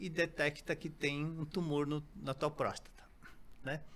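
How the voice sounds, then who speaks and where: Here a man talks with a fairly high voice. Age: 60s. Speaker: company founder, natural health products. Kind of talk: interview podcast. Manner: halting, many fillers.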